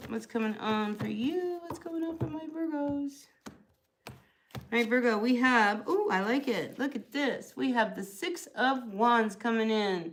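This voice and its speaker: Speaking with an American accent, a woman uses a high pitch and lively intonation at a fairly slow pace. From US Northeast, New Jersey. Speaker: tarot reader. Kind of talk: live tarot reading stream. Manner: casual, chatty.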